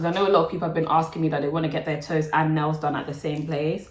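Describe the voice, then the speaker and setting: A woman's fairly low voice with a London accent, over noticeable background noise. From London, England. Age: 20s. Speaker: nail technician and YouTuber. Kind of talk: casual Q&A chat. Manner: casual, chatty.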